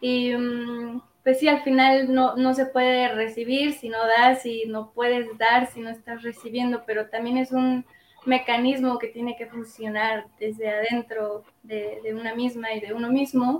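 A woman with a high pitch talks fairly slowly in a monotone, flat intonation. Her loudness swings widely. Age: 20s. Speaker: women's circle facilitator. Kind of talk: interview.

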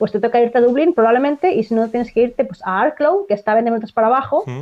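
In a high pitch, a woman talks at a very fast pace. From Spain, Barcelona (Catalonia). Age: 30s. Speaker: dancer. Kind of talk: casual chat.

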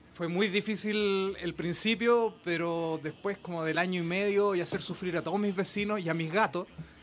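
The speaker has a Chilean accent and a moderate pace. There are hardly any pauses. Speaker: musician in a medieval-style band. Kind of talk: casual chat.

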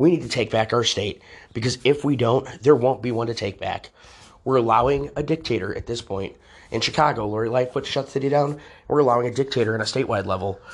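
A man with an American accent at a very fast pace, medium in pitch, over a quiet background. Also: ordinary pitch variation. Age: 30s. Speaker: political activist and show host. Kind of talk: political commentary monologue. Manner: animated.

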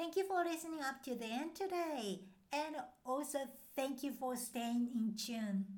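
A woman talks at a moderate pace with a high pitch and lively intonation, with audible room echo around her. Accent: Japanese. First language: Japanese. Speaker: language teacher podcaster. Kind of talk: podcast monologue, language lesson.

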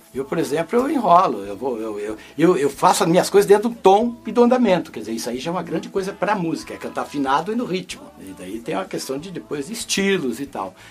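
A man's high-pitched voice at a very fast pace, with very wide pitch swings, big swings in loudness and noticeable background noise. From northern Paraná, Brazil. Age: 70s. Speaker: musician. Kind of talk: casual interview. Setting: studio.

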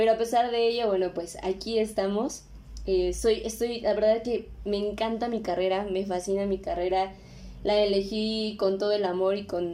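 In a Mexico City accent, a woman speaks at a moderate pace with a medium pitch and a dark, mellow tone. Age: 20s. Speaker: podcast host. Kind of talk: casual monologue. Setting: home recording. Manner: animated.

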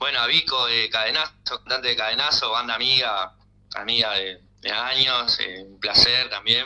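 This man has an unremarkable speaking voice of medium pitch, with fairly even intonation at a moderate pace. His loudness swings widely. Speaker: rock band member. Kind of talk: interview.

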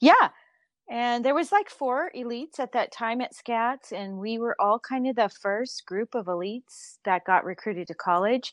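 A woman in an unremarkable speaking voice, fairly high in pitch with lively intonation, talks at a moderate pace, recorded dry and close with no echo over a quiet background. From Southern California. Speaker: college recruiting consultant, former gymnast. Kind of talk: interview.

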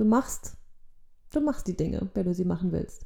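A woman is speaking. Her pace is moderate. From Germany (born in Poland, moved at age one). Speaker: actress and theatre educator, podcast co-host. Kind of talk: casual chat. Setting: studio-like home recording, sitting opposite co-host.

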